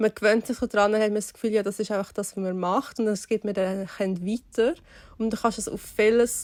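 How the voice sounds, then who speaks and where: Speaking at a moderate pace in a medium pitch, a woman with a Swiss accent keeps a monotone, flat intonation in a very clean recording with a silent background and a dry, close sound with no echo. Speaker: podcast co-host. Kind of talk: casual podcast conversation.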